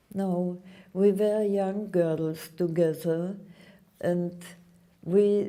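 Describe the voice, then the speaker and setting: Very slowly, a woman speaks in a fairly low voice with fairly even intonation. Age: 80s+. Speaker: Holocaust survivor speaking to students. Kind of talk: Q&A with school students.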